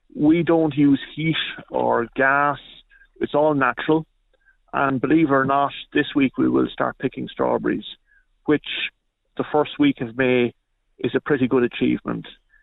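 A man in an Irish Midlands accent at a moderate pace, broken by long, frequent pauses. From Ireland, County Longford. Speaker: fruit farmer. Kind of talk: radio interview.

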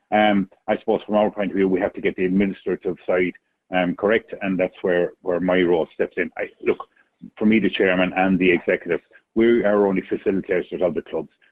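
A man with an Irish Midlands accent speaks at a fairly quick pace. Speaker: chair of a county ladies football board. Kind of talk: radio interview.

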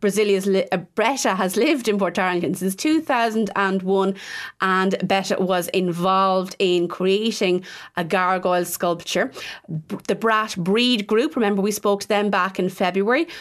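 A woman with an Irish Midlands accent at medium pitch and moderate pace, ordinary pitch variation, very even loudness, on a very clean recording with a silent background. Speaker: local radio host. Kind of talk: radio show presenting. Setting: radio studio.

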